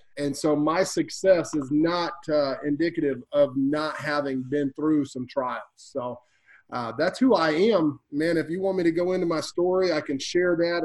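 Hardly pausing, a man with fairly high pitch talks at a moderate pace with ordinary pitch variation. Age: 30s. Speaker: real estate investor and sales speaker. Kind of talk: casual interview. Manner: animated.

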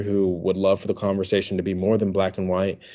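A man with an American accent speaks in a fairly low pitch and a dark, mellow tone. The background is quiet. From Washington, D.C. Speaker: pastor and author. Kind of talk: casual interview.

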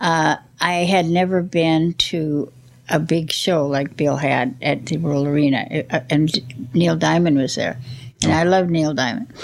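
A woman with an American accent speaks at a fairly slow pace and a very deep, low pitch. Her loudness stays very even, with ordinary pitch variation. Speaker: retired rock and roll promoter. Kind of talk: interview, reminiscing. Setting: at home.

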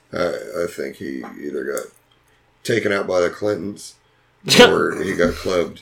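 Pausing often and at length, a man talks at a moderate speed. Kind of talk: casual chat. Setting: studio.

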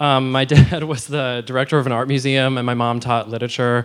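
With an American accent, a man speaks at medium pitch and a moderate pace in an unremarkable speaking voice. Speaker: opera singer. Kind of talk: interview at live show. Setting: stage with audience.

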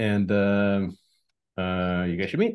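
A man with an American accent and vocal fry. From New York (emigrated from Soviet Union at 8). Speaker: tech entrepreneur. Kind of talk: interview.

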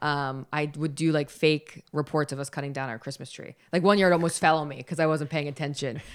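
A woman with an American accent, her pitch very deep and low, at a fairly quick pace with hardly any pauses and fairly even intonation, on a very clean recording with a silent background. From Philadelphia, US. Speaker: sports reporter. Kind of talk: interview, casual chat.

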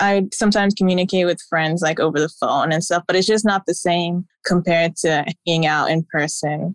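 A woman with an American accent uses an ordinary speaking voice, fairly low in pitch, at a fairly quick pace with hardly any pauses. Her loudness stays very even, her intonation is fairly even, and the sound is dry and close with no echo. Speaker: recent graduate. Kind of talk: casual chat.

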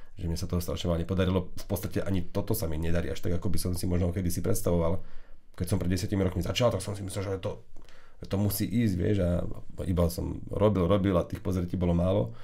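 A man with a very deep, low pitch speaks at a very fast pace in a dark, mellow, somewhat breathy tone. Audible room echo surrounds his voice. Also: fairly even intonation. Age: 30s. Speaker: tech podcast host. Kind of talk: casual chat. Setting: studio. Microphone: new microphone setup.

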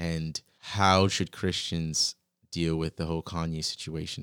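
A man with an American accent, dry and close with no echo, on a very clean recording with a silent background. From Virginia, US. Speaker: podcast host. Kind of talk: casual interview conversation. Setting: in-person room across a desk.

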